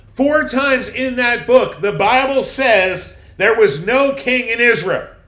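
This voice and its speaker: With audible room echo, a man's raised, projected voice rings out at an extremely high pitch, bright and sharp in tone with lively intonation. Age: 60s. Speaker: pastor. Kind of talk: sermon.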